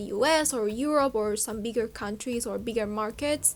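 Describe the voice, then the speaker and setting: A woman with a Spanish accent, high-pitched, at a moderate pace with ordinary pitch variation. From Uruguay. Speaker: fashion YouTuber. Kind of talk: casual vlog monologue.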